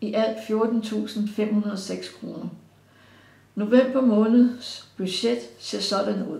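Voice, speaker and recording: Heard with audible room echo, a woman with a fairly high pitch, a dark, mellow tone and vocal fry talks at a very slow pace, her intonation fairly even while her loudness swings widely. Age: 70s. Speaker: pensioner. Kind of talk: prepared statement read aloud. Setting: recorded interview.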